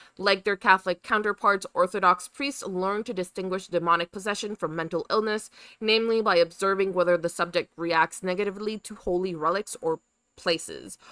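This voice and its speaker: A woman at medium pitch speaks at a moderate pace with a bright, sharp tone and fairly even intonation, in a very clean, dry, close recording with no echo and a silent background. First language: Spanish. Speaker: podcast co-host. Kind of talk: reading research notes aloud on a live stream. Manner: halting over hard words.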